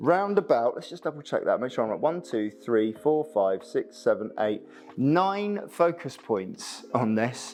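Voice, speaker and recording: A man with a British accent, fairly high in pitch and swinging very widely, over music in the background. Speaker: photographer. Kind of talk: tutorial. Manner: fast.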